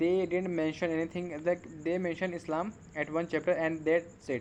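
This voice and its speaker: A man speaks with a non-native accent. His pitch is high and his pace fairly quick. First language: not English. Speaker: English learner vlogger. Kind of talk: casual monologue to camera. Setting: at home at night, on camera. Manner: halting, many fillers.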